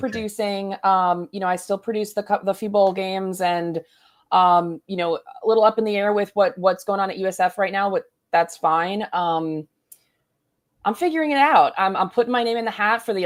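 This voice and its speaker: This woman has a plain, everyday voice at medium pitch. She talks at a fairly quick pace with ordinary pitch variation. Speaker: stadium PA announcer and sports producer. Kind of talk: casual conversational.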